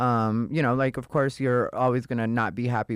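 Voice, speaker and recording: In a very clean recording with a silent background, a man with an American accent speaks at a fairly quick pace, his medium-pitched voice monotone and flat. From Arizona, Casa Grande. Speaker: comedian. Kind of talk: casual chat.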